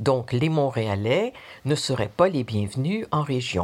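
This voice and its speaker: A woman at a very slow pace with very wide pitch swings, on a very clean recording with a silent background. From Quebec. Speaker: listener sharing testimony. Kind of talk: recorded personal testimony.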